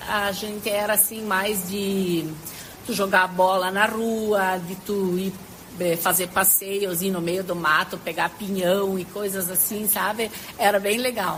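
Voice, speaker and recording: Speaking at a very slow pace, a woman with a medium pitch is heard over noticeable background noise. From southern Brazil, Galópolis (Rio Grande do Sul). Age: 60s. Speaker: retired teacher. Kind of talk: interview.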